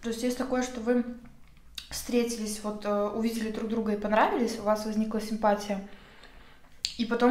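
A woman speaks very fast in a monotone, flat intonation. Audible room echo surrounds her voice. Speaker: vlogger. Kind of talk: casual vlog chat while eating. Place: home room.

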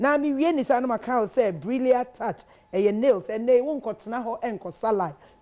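A woman speaks with a dark, mellow tone and a fairly high pitch. Her pitch varies in an ordinary way. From Ghana. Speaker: talk show host; TV show host. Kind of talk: sponsor shout-outs; casual chat. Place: studio. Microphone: lapel.

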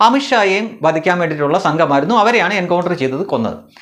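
A man with a high pitch and lively intonation talks while noticeable background noise goes on. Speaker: political commentary YouTuber. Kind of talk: monologue commentary.

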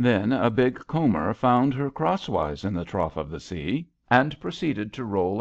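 The delivery is plain reading aloud, carried by lively intonation.

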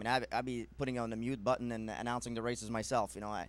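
A man's very fast, monotone delivery with flat intonation, in a dry sound with no echo. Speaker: guest. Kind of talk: interview answer. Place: studio.

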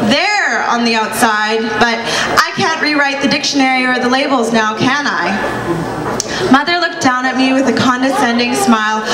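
A woman's high-pitched voice at a fairly slow pace over loud background noise. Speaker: spoken word poet. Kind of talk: spoken word poetry performance. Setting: live stage at cultural show. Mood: defiant, pointed. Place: cafe. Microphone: handheld.

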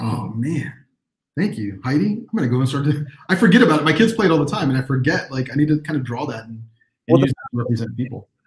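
A man talks at a very fast pace with a fairly high pitch and lively intonation, broken by long, frequent pauses. Light background noise and audible room echo can be heard. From Texas. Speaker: illustrator and teacher; teacher. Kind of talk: live online workshop. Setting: video livestream. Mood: friendly, encouraging. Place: home room.

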